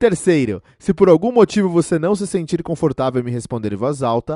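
A man speaks in a fairly high pitch with very wide pitch swings and a dark, mellow tone. The sound is dry and close with no echo, against a quiet background. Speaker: English teacher. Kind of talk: tutorial. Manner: clear, instructional.

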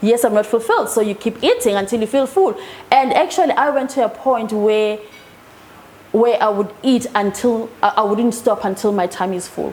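A woman's fairly high voice at a moderate pace, fairly even in intonation, amid noticeable background noise. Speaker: hypnotherapist. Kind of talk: interview.

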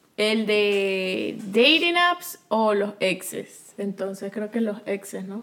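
Noticeable background noise sits behind a woman with a medium-pitched voice. She speaks very slowly yet with hardly any pauses. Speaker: podcast co-host. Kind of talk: casual chat. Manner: loud.

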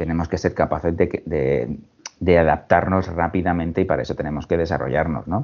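Very deep and low, a man's voice shows vocal fry as he speaks at a moderate pace. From Spain, Alicante. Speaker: human resources director. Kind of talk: interview. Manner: halting.

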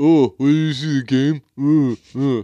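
Putting on a character voice, a man speaks at a fairly high pitch with fairly even intonation.

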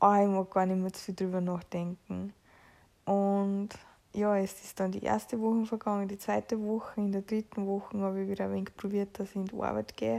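This woman talks at a fairly quick pace in a medium pitch, her dark, mellow tone held in monotone, flat intonation. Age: 20s. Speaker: podcaster with long covid. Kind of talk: personal diary-style monologue.

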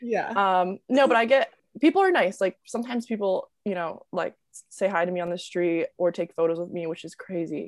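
Speaking fairly quickly, a woman with a normal speaking voice at a medium pitch shows ordinary pitch variation, in a dry, close sound with no echo. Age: 20s. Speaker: TikTok creator and college student. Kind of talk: casual interview chat. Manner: casual, filler-heavy.

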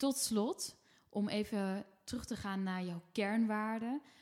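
Over a very clean recording with a silent background, a woman with a fairly high pitch talks at a very slow pace. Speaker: podcast host. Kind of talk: casual chat. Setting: at home.

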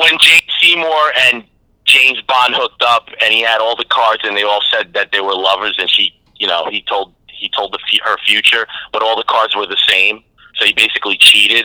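This is an ordinary speaking voice, a man with an American accent at a medium pitch. He talks at a fairly quick pace with ordinary pitch variation. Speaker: comedian guest.

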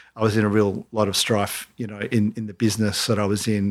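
A man talks at a very fast pace with an Australian accent. His intonation is monotone and flat, and the recording is very clean with a silent background. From Australia, south coast of New South Wales. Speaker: entrepreneur and company founder. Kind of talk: casual interview.

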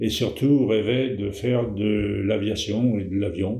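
A man talks in a fairly low pitch, with ordinary pitch variation. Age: 70s. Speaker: family storyteller. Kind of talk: casual chat. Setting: shared microphone with relative. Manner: halting. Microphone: shared mic, sound slightly worse than usual.

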